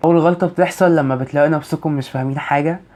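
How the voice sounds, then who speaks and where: Fairly even intonation with an Egyptian accent. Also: man. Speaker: university student advice vlogger. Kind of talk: vlog advice talk.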